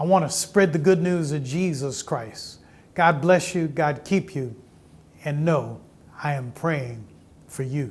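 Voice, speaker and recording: In a space with audible room echo, a man speaks at a fairly high pitch and a fairly slow pace, somewhat breathy, with ordinary pitch variation and long, frequent pauses. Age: 70s. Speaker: pastor. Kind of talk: sermon; interview.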